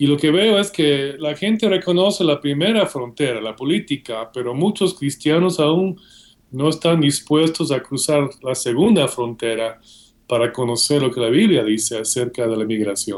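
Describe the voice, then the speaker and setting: Lively intonation and a moderate pace mark this voice with a Guatemalan accent, heard on a very clean recording with a silent background. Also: man, fairly high pitch for a man. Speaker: seminary professor and author. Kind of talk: interview.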